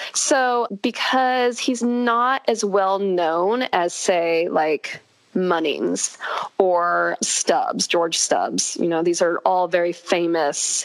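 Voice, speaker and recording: Over noticeable background noise, a woman with a fairly low pitch and an American accent speaks very slowly, with lively intonation and very even loudness. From California. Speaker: equestrian social media creator. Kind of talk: casual interview chat.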